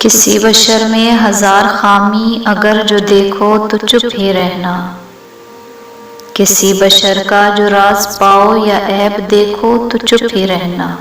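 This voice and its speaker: Over noticeable background noise, a woman talks in a monotone with flat intonation. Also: medium pitch for a woman. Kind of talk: poetry reading.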